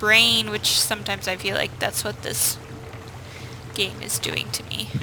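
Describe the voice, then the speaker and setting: A woman takes her time, talking fairly slowly amid noticeable background noise. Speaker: gaming video creator. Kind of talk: let's play commentary.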